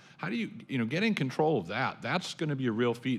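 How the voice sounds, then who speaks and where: Speaking at a fairly quick pace with lively intonation, a man has an unremarkable speaking voice, captured on a very clean recording with a silent background. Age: 50s. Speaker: professor. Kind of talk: panel discussion.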